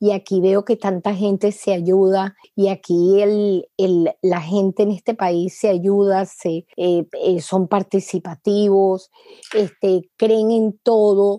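In a Venezuelan accent, a woman speaks at a very slow pace with hardly any pauses, a medium pitch, monotone flat intonation, very even loudness and a dark, mellow tone, in a dry, close sound with no echo. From Venezuela, Caracas. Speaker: congenital heart disease patient and foundation founder. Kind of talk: interview.

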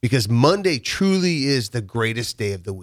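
A voice with a Midwestern US accent at a moderate pace, in a dry, close sound with no echo, on a very clean recording with a silent background. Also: man. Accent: US Midwest. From Nebraska, rural farm near Waverly. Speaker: construction company owner. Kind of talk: casual interview. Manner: repetitive, halting.

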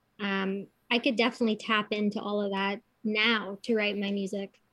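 Speaking at a fairly slow pace in a normal speaking voice, a woman with a Canadian accent talks at a fairly high pitch. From Kitchener, Ontario, Canada. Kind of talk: casual interview chat.

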